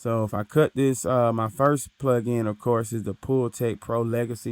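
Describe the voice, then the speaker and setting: Speaking fairly slowly in a flat monotone, a man is recorded with a dry, close sound and no echo. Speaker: recording engineer. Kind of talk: tutorial. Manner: casual, filler words.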